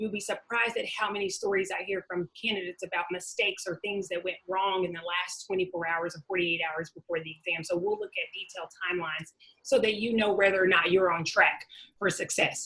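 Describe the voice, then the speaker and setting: The speaker talks very fast in a Southern US accent. The tone is bright and sharp, with fairly even intonation. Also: woman, medium pitch for a woman. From Arkansas, US South, small town. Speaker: webinar presenter, doctoral researcher, former teacher. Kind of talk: webinar presentation. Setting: online webinar.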